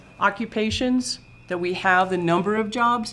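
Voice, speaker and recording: A woman speaks fairly slowly, her pitch varying in an ordinary way. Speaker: presenter to town board. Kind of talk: presentation. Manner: loud.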